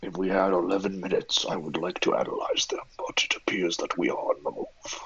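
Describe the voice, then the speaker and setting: This man puts on a character voice. He moves at a fairly quick pace. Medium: actual play. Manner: formal, measured, deadpan.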